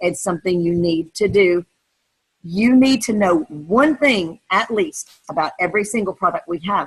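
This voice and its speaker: Somewhat breathy, a woman speaks at a moderate pace and medium pitch. Her pitch variation is ordinary. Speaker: direct sales team leader. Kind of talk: training webinar.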